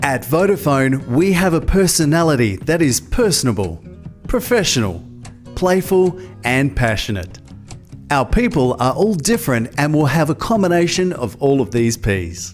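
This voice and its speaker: Music plays in the background as a man speaks at a moderate pace with a fairly high pitch. His pitch swings very widely while his loudness stays very even. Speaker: voiceover artist. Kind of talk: corporate training narration. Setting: studio.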